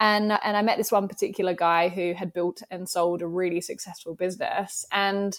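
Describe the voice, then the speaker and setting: In an Australian accent, a woman speaks at a moderate pace in a very clean recording with a silent background. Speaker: business founder and podcast host. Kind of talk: casual interview chat.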